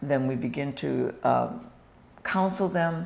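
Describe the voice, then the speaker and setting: There is audible room echo as a woman speaks with an American accent. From US Northwest (Washington state). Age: 70s. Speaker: retired nurse and missionary. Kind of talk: interview.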